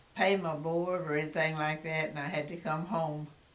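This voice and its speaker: Over noticeable background noise, a woman with a Texas accent and a very deep, low pitch speaks at a fairly slow pace in a monotone, flat intonation. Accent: Texas Southern. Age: 80s+. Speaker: grandmother interviewed about her life. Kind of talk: interview answer.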